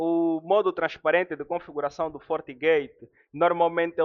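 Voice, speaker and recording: A man's voice with a fairly high pitch. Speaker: network security instructor. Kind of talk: live online class. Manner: fast.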